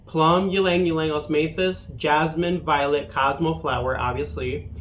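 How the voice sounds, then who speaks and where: Someone speaks at a fairly slow pace, with audible room echo around the voice. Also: man. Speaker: fragrance reviewer. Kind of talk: product review monologue. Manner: stuttering from caffeine; casual, halting with fillers.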